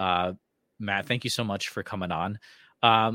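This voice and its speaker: A man's unremarkable speaking voice, fairly low in pitch and fairly slow, with a dry, close sound free of echo on a very clean recording with a silent background. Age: 40s. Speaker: podcast host. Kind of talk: scripted outro and sponsor read; interview.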